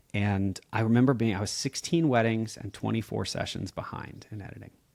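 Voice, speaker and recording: The man's speech moves fairly quickly. His medium pitch shows ordinary variation. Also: big swings in loudness. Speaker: wedding photographer. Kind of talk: podcast conversation.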